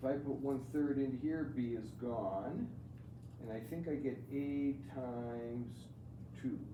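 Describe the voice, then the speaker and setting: With audible room echo, a man with a medium pitch talks at a fairly slow pace, keeping his intonation fairly even and leaving long, frequent pauses. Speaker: math teacher. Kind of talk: classroom lecture. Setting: classroom with students.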